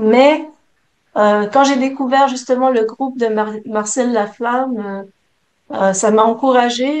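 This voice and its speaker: A woman with a fairly high voice talks very slowly, her intonation fairly even. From Quebec City, Canada. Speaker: prayer group leader. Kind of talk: testimony. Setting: video call. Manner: hesitant.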